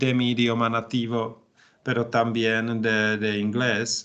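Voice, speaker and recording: A man with a Czech accent, medium pitch and a bright, sharp tone. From Czech Republic, Bohemia. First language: Czech (speaking Spanish). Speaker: language student. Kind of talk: language class conversation. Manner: halting, many fillers.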